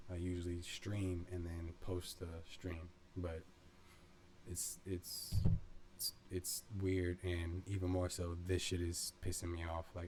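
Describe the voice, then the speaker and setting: A man's very deep, low voice, dark and mellow in tone, with monotone, flat intonation. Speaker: video essay creator. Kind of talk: casual monologue. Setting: bedroom. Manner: slow; low-energy, not exuberant.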